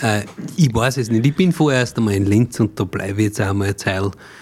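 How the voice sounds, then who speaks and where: Moving at a fairly quick pace, a man with a medium pitch and a somewhat breathy voice uses ordinary pitch variation. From Austria, Mühlviertel (Upper Austria). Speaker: cabaret artist and songwriter. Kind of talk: casual interview.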